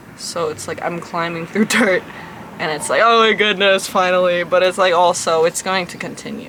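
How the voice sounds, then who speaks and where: Over noticeable background noise, a woman talks with fairly even intonation and big swings in loudness. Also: medium pitch for a woman. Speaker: vlogger. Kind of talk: casual vlog reading own poetry. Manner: slow; hesitant, filler-heavy.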